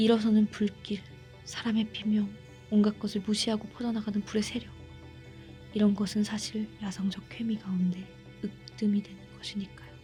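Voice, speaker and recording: Moderate pacing broken by long, frequent pauses, with music in the background. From Korea.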